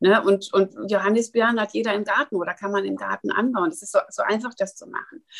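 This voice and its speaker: A woman at a fairly quick pace. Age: 60s. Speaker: wellness educator. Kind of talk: interview.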